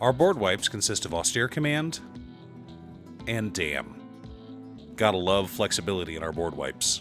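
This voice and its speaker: There is music in the background as a man speaks at a moderate pace. His pitch swings very widely. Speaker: card game content creator. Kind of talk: deck-building commentary to camera.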